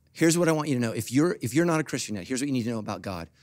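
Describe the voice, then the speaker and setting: Lively intonation carries this man's animated tone. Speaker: pastor. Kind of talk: sermon. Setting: church. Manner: animated, emphatic preacher, rhetorical questions, punchy; humorous, joking, audience-engaging. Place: church. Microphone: handheld.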